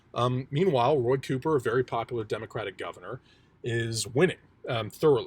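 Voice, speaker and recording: A man's somewhat breathy voice is captured in a very clean recording over a silent background. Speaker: political commentator YouTuber. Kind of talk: extemporaneous election analysis monologue. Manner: fast; hesitant, many fillers.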